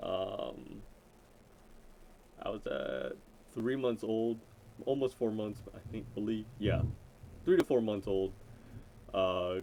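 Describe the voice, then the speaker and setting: A man speaks with an American accent at a very slow pace. Long, frequent pauses break up his speech. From Florida, US South. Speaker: YouTuber. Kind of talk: casual vlog introduction. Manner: rambling, many fillers.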